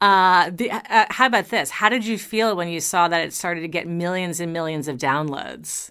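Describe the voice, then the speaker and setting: A woman with a normal speaking voice talks with a fairly low pitch. Her pitch variation is ordinary, and she leaves hardly any pauses. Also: moderate pace. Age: 50s. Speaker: podcast host. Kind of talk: interview.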